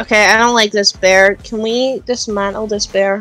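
Moderate pace in a put-on character voice. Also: female-sounding voice, fairly high pitch for a woman. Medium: role play. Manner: angry, combative.

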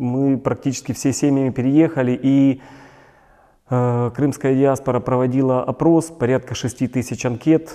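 Against a quiet background, a man speaks at a fairly slow pace with a dark, mellow tone and monotone, flat intonation. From Donetsk, eastern Ukraine. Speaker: displaced person activist. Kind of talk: video blog monologue. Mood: serious, earnest. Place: studio.

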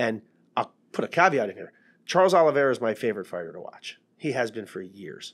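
In quiet surroundings, a man's voice carries lively intonation. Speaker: podcast co-host, MMA coach. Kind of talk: podcast commentary. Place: studio. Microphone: studio mic.

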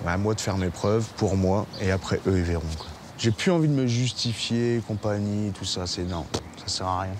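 With noticeable background noise but a dry sound with no echo, a man speaks at a fairly slow pace and a fairly low pitch, using ordinary pitch variation and long, frequent pauses. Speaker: driving instructor in addiction recovery. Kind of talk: testimony; reading aloud. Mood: remorseful, emotional.

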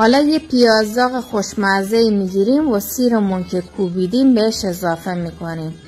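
Someone speaks in a southern Iranian accent with music in the background. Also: woman. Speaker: home cook. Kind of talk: cooking tutorial.

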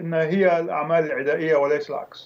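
A man speaks at a high pitch. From Lebanon. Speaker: academic and political analyst. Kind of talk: news interview. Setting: remote link from Beirut. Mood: serious, analytical. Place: home room. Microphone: video call.

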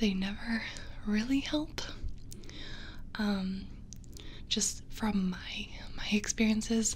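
Over light background noise, a soft-spoken woman talks very slowly with fairly even intonation. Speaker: ASMR creator. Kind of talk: casual vlog chat. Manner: soft-spoken, close-mic voice. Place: home room. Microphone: studio mic.

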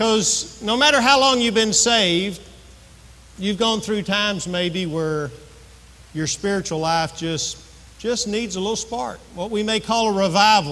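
A man's raised, projected voice at a fairly slow pace, with ordinary pitch variation. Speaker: pastor. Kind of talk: sermon. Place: church.

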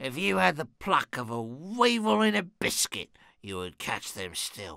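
A raspy, put-on character voice swings very widely in pitch. The recording is very clean, with a silent background. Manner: furious, shrill, commanding.

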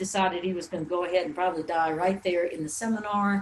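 A woman's medium-pitched voice with fairly even intonation amid noticeable background noise. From New Orleans, Louisiana. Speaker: natural health teacher. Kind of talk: webinar presentation. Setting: recorded webinar.

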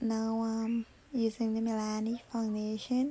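Her voice tired in tone, a woman speaks at a fairly high pitch, somewhat breathy, with a dark, mellow tone. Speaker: makeup artist. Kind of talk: tutorial voice-over. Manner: tired, casual.

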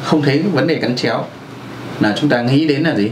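A man speaks with ordinary pitch variation. Audible room echo and light background noise surround his voice. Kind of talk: lecture. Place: office. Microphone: camera far.

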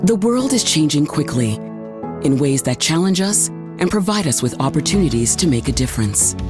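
A woman's voice at a very even loudness, hardly any pauses, music in the background. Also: moderate pace. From Canada. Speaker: voice actor. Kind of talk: corporate narration.

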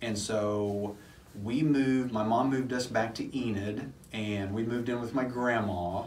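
Over light background noise, a man speaks with audible room echo. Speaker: podcast co-host. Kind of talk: casual podcast chat, personal memories. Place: studio.

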